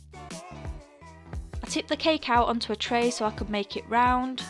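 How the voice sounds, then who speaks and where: With music in the background, a woman in a British accent speaks at a fairly high pitch. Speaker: cake decorator. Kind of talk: baking tutorial voice-over.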